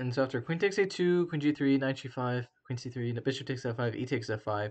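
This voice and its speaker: A man at medium pitch with ordinary pitch variation, fairly quick pace, and a quiet background. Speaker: chess streamer. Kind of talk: live game analysis stream. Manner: halting, many fillers.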